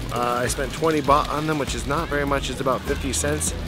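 Clear background music and a dry sound with no echo. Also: man. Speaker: food travel vlogger. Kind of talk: casual vlog chat. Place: market. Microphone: phone near.

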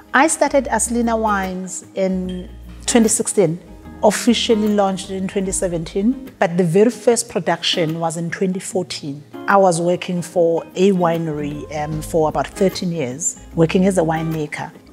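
Her pitch is fairly low, with ordinary variation, as this woman speaks at a fairly slow pace. Faint music plays in the background. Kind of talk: interview answer. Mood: warm, reflective. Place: hall.

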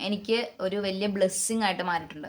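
A woman with a medium pitch speaks in a bright, sharp tone with fairly even intonation. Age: 30s. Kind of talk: religious talk.

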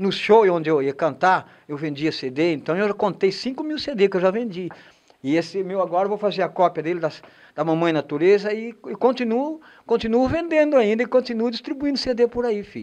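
A man with a high-pitched voice speaks at a moderate pace with very wide pitch swings. The background is quiet. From Brazil. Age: 60s. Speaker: singer-songwriter. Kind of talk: interview. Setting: studio. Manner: halting. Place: studio. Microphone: handheld.

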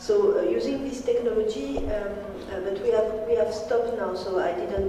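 Audible room echo around a woman, plus light background noise. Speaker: conference presenter. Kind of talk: lecture. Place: hall. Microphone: camera far.

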